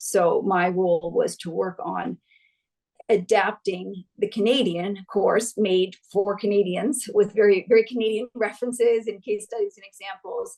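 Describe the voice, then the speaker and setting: A woman with a medium pitch and a dark, mellow tone speaks in fairly even intonation, her loudness swinging widely. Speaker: gender equality consultant. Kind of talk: webinar presentation. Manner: fast.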